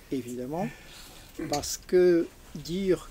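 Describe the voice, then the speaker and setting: The speech moves at a very slow pace. Noticeable noise is audible in the background. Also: man. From Algeria (Algiers), left at 14. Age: 80s+. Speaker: audience member. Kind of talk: audience question at book talk.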